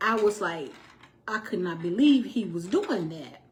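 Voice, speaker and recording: Animated, somewhat breathy woman's voice at a fairly high pitch, with very wide pitch swings and a moderate pace. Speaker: domestic violence survivor telling her story. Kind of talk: personal storytelling to viewers.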